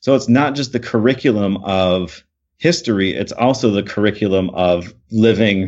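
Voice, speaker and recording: A normal speaking voice, this man's fairly low pitch carries an American accent and lively intonation. He keeps a moderate pace. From Michigan. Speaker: education professor and author. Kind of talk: podcast interview.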